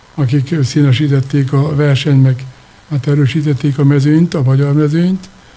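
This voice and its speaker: Fairly slow in pace, a man speaks with a fairly high pitch and monotone, flat intonation. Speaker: wrestling club president. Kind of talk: radio interview. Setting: studio.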